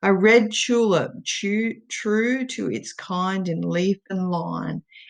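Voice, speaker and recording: A woman speaks with an Australian accent. Her pitch is medium, with ordinary variation. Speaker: poet. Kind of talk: poetry reading.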